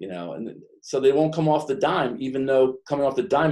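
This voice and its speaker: With an American accent, a man speaks at medium pitch in a dark, mellow tone, moving at a fairly quick pace with ordinary pitch variation. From New York / New Jersey. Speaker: business coach. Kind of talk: professional group discussion. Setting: conference call.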